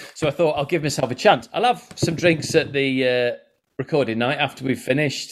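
This man has a fairly high pitch and a normal speaking voice. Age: 40s. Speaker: comedian. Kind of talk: casual chat.

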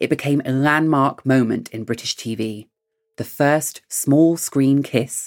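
A man with an English accent speaks at a medium pitch for a man, with music playing in the background. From England. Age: 30s. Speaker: podcast host. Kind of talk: scripted narration; interview.

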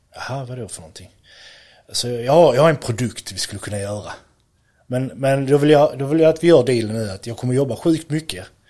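Dark and mellow in tone, a man at medium pitch talks at a fairly quick pace with big swings in loudness. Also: ordinary pitch variation. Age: 30s. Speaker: electrician and product entrepreneur. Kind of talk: interview.

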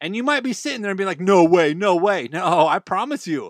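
A man speaks at a high pitch in an animated tone, making very wide pitch swings. The sound is dry and close with no echo, on a very clean recording with a silent background. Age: 30s. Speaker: health podcast host. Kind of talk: solo podcast monologue.

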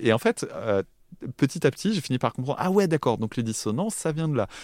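A man rattles along at a very fast pace with lively intonation, dry and close with no echo on a very clean recording against a silent background. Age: 30s. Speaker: music podcaster. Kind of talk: casual chat. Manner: halting.

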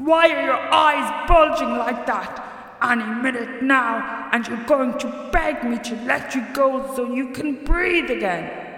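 A high-pitched, put-on character voice is raised and projected at a fairly slow pace, with clear echo around it. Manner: snarling, menacing.

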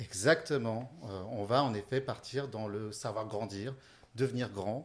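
A man speaks in a somewhat breathy voice with ordinary pitch variation. The recording is very clean, with a silent background. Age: 30s. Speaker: youth holiday camp developer. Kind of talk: interview.

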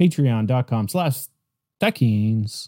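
A man talks at a very slow pace in a medium-pitched voice with a dark, mellow tone. The recording is very clean and dry, close with no echo, and the background is silent. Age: 30s. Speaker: podcast host. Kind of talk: solo commentary. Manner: halting.

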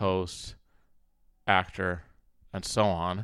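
The recording is very clean, its background silent. A man's voice sits at a fairly low pitch. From Minnesota, US Midwest. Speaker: comedian and content creator. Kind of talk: casual chat. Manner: animated.

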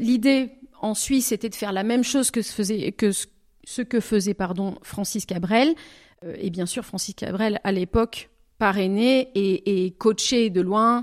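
A woman's fairly slow speech with ordinary pitch variation, in a very clean recording with a silent background and a dry, close sound with no echo. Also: medium pitch for a woman. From southwestern France, Bordeaux. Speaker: singer-songwriter. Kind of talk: interview. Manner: halting.

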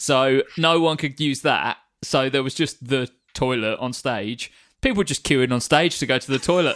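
A man speaks with a British accent at a moderate pace. His medium pitch varies in an ordinary way on a very clean recording with a silent background. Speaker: podcast co-host. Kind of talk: casual chat.

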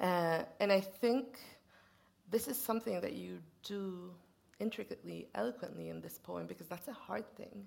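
This woman's loudness swings in big ways. She keeps a moderate pace. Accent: Swedish. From Sweden. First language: Swedish. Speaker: poet and interviewer. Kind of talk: onstage literary conversation. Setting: stage with audience.

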